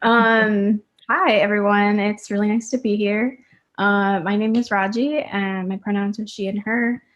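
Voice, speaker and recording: Here is a woman with a normal speaking voice and a medium pitch. She goes at a fairly slow pace with fairly even intonation. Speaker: student moderator. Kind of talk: conference interview.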